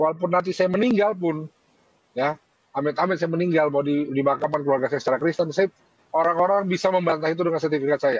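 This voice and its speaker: A man talks at a very fast pace. His pitch sits high. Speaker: convert foundation worker. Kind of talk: heated debate.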